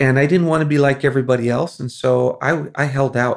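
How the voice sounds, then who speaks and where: At a moderate pace, a man with a normal speaking voice keeps a fairly even intonation. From Philippines (American missionary kid). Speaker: missionary. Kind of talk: casual chat.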